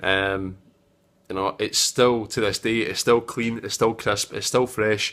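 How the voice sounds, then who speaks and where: A man with a Scottish accent speaks at a moderate pace and a fairly low pitch. The recording is very clean, with a silent background. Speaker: tech video maker. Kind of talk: casual vlog review. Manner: hesitant, many fillers.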